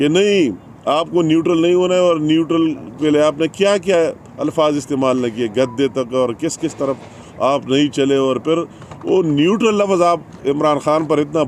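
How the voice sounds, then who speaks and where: Over noticeable background noise, a man speaks at a fairly high pitch with ordinary pitch variation. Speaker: politician. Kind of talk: political press conference speech.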